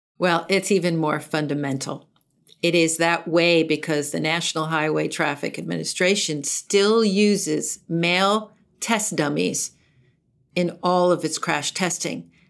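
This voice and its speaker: A woman with an unremarkable speaking voice and fairly low pitch talks at a fairly slow pace on a very clean recording with a silent background. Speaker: consumer advocacy nonprofit head. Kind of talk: interview.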